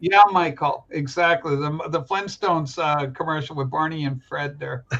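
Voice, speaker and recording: This man talks in a normal speaking voice, pitched fairly high. His intonation stays fairly even at a moderate pace. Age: 60s. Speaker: show host. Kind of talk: casual chat.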